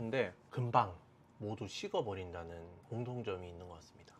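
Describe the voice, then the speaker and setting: A man talks in a relaxed tone at a moderate pace. His voice is somewhat breathy. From South Korea, Daegu. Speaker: fashion and sneaker YouTuber. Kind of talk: casual monologue to camera. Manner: relaxed with frequent fillers.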